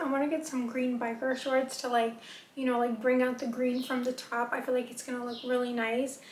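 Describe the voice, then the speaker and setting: With audible room echo, a woman talks fairly quickly at a high pitch in a flat monotone. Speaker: fashion and beauty vlogger. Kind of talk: casual try-on haul talk. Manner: fast; casual chatty.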